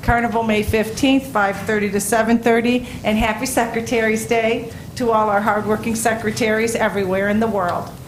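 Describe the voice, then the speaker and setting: Fairly quick speech with hardly any pauses, flat monotone intonation, audible room echo and noticeable background noise. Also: woman, fairly high pitch for a woman, very even loudness. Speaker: school principal giving report. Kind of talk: board meeting report. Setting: school board meeting.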